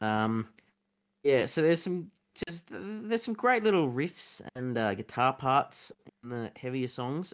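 The recording is very clean, with a silent background. The speaker has an Australian accent, a moderate pace and ordinary pitch variation. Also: man. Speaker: podcast co-host. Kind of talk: casual chat.

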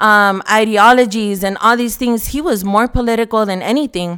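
Animated in tone, a woman speaks at a fairly high pitch and a moderate pace with ordinary pitch variation. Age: 30s. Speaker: newspaper editor and church member. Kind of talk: podcast interview testimony. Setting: studio.

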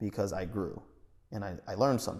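A man's voice on a very clean recording against a silent background. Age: 30s. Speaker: podcast co-host. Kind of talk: casual chat.

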